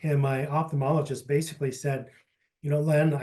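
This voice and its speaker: Somewhat breathy, a man speaks at a fairly high pitch with monotone, flat intonation. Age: 60s. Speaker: patient panelist. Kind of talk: testimony.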